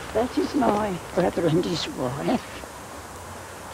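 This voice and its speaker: A woman with a medium-pitched voice speaks against noticeable background noise. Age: 80s+. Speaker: elderly villager. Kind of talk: interview testimony.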